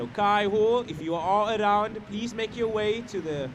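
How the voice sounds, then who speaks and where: Loud and high-pitched, a man talks at a fairly slow pace amid audible room echo. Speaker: surf contest announcer. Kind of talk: live commentary.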